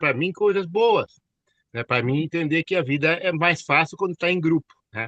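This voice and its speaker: A man talks at a fairly slow pace in a bright, sharp tone with lively intonation. The sound is dry and close, with no echo. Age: 60s. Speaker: network marketing consultant. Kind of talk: online class discussion.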